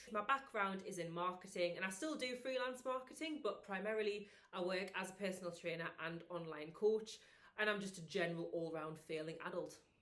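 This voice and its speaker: A woman with a northern English accent and a medium pitch talks at a fairly quick pace with lively intonation, and the room echo is audible. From northern England. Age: 20s. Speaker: vlogger and personal trainer. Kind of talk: casual vlog chat.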